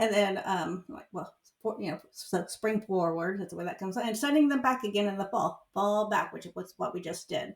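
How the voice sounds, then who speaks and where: A woman talks at a moderate pace in a medium-pitched voice with ordinary pitch variation. Her loudness swings widely. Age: 60s. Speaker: podcast co-host. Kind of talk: casual chat. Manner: halting, many fillers.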